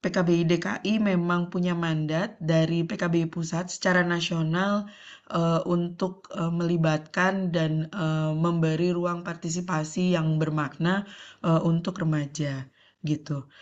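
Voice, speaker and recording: In a fairly low pitch, a woman speaks with flat, monotone intonation. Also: fairly slow pace. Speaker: NGO division head, panel speaker. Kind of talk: conference presentation. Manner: frequent hesitation fillers.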